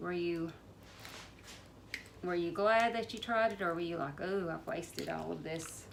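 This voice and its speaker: With a Southern US accent, a woman mumbles at a moderate pace in a fairly low voice, her pitch varying in an ordinary way, with long, frequent pauses and audible room echo. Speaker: home canning vlogger. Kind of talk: casual how-to demonstration. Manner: mumbling; hesitant, many fillers.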